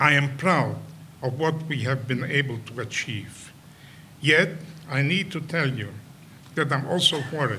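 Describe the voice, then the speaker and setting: With audible room echo behind him, a man talks at a fairly slow pace with long, frequent pauses, his fairly high-pitched voice bright and sharp in tone, with ordinary pitch variation. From Poland. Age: 90s. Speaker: Holocaust survivor and educator. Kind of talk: prepared speech. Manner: halting.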